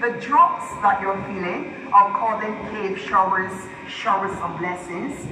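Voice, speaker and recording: Fairly slow speech from a woman, with audible room echo and noticeable background noise. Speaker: cave tour guide. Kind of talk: tour guide commentary. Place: tunnel cave.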